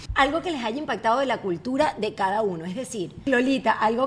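An animated tone carries very wide pitch swings. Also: woman. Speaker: podcast host. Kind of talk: casual chat.

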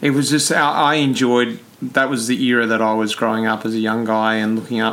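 A man's medium-pitched voice with an Australian accent, flat and monotone, at a fairly quick pace over noticeable background noise. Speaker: podcast host and cyclist. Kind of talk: casual interview.

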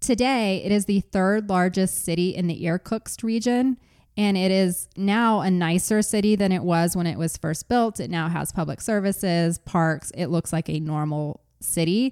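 A woman speaks in an ordinary speaking voice at a medium pitch, with ordinary pitch variation and a moderate pace. She leaves hardly any pauses, on a very clean recording with a silent background and a dry, close sound with no echo. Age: 40s. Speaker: podcast host. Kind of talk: true crime storytelling.

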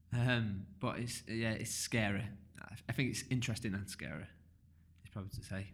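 A somewhat breathy man at a fairly quick pace, fairly even in intonation but with big swings in loudness. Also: medium pitch for a man. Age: 30s. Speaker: podcast host. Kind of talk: casual interview.

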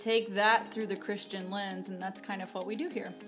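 A woman's medium-pitched voice with fairly even intonation over music in the background. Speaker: podcast co-host. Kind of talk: casual, conversational.

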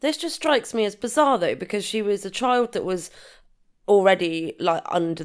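With a British accent, the voice shows very wide pitch swings on a very clean recording with a silent background. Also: woman. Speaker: true crime podcast co-host. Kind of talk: casual chat, commentary.

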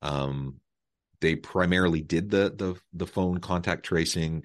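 Fairly even in intonation, a man speaks against a quiet background. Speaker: podcast host. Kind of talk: interview. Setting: remote call.

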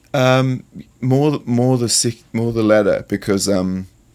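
On a very clean recording with a silent background, a man with a New Zealand accent speaks at a fairly slow pace with ordinary pitch variation. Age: 20s. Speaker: fashion designer. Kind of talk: interview. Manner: halting.

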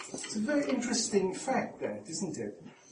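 A man talks with lively intonation. Noticeable background noise runs underneath. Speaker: psychoanalyst chairing the talk. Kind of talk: chairing a discussion.

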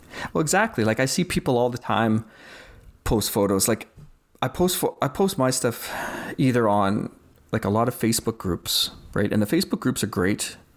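With a Canadian accent and lively intonation, a man at medium pitch speaks at a moderate pace and very even loudness, leaving long, frequent pauses in a very clean recording with a silent background. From Saskatchewan, Canada. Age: 40s. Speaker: wildlife photographer. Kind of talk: casual chat.

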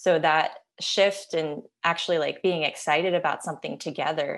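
With a quiet background, a woman with an American accent and a very deep, low pitch speaks at a moderate pace with fairly even intonation. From US, Maryland (Silver Spring). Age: 30s. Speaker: photographer and author. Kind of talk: casual interview.

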